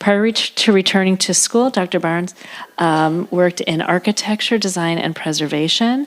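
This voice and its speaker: Over noticeable background noise, a woman with a fairly low voice and ordinary pitch variation talks at a very fast pace. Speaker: museum director. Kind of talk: formal speaker introduction. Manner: reading from script, some stumbles.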